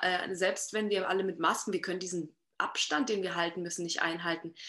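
With an ordinary speaking voice, a woman talks at a fairly quick pace and a medium pitch. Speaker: singer and songwriter. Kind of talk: casual interview.

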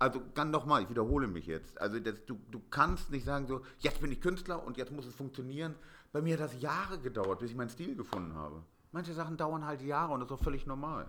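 Using lively intonation and vocal fry, a man talks at a very fast pace. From Hamburg, northern Germany. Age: 40s. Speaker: painter. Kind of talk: interview.

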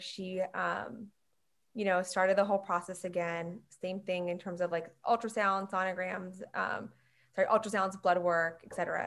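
The speaker has an unremarkable speaking voice and an American accent. Delivery is fairly quick with fairly even intonation. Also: woman. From Long Island, New York. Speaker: emergency medicine physician. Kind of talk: casual interview.

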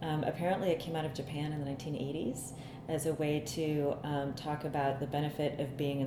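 In an American accent, a woman with a very deep, low pitch speaks at a moderate pace in a flat monotone, with audible room echo and noticeable background noise. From US Midwest, Cleveland, Ohio. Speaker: bodywork therapist. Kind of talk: casual chat.

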